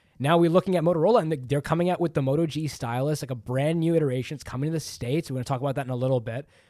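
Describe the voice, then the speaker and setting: A man with a Canadian accent at a very fast pace, with hardly any pauses, a fairly high pitch, ordinary pitch variation and a dark, mellow tone, on a very clean recording with a silent background. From Canada. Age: 20s. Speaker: tech podcast co-host. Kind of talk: casual chat.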